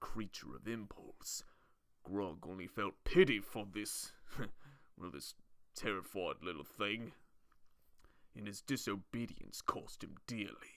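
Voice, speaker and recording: A man's put-on character voice, fairly low in pitch and fairly slow, with long, frequent pauses and big swings in loudness. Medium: solo performance. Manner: blunt, slow, simple.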